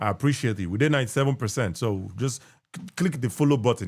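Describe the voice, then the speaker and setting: A man with a Nigerian accent, medium pitch, lively intonation and a very fast pace, on a very clean recording with a silent background. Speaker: podcast host. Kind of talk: live stream hosting. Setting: live stream.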